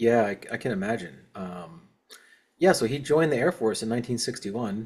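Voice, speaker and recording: This man talks at a medium pitch and a fairly quick pace, in a normal speaking voice. His intonation is lively. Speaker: podcast host, Navy veteran, bass player. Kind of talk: casual podcast conversation.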